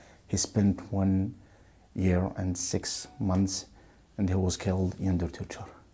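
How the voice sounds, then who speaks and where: A man speaks quietly in a very deep, low pitch with a dark, mellow, somewhat breathy tone. His intonation is monotone and flat, and his pace fairly slow. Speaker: journalist and activist. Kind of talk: testimony. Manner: hushed; halting.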